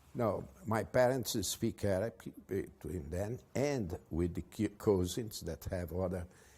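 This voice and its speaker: With a Portuguese accent, a man speaks at a fairly slow pace and a fairly low pitch, his dark, mellow tone somewhat breathy, with ordinary pitch variation and hardly any pauses. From Brazil. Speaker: advertising executive. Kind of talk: interview. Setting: at his home. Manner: halting.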